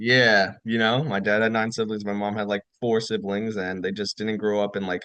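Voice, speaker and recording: Over a quiet background, a man with a fairly low pitch talks at a moderate pace in a monotone, flat intonation, with hardly any pauses. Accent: New York. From New York, Rockland County. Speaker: retired army officer. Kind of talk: casual chat.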